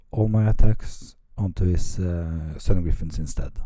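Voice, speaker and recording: A man with a Norwegian accent, fairly low pitch, dark, mellow tone, very slow pace. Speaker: tabletop wargame hobbyist. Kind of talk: battle report commentary. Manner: halting, many fillers.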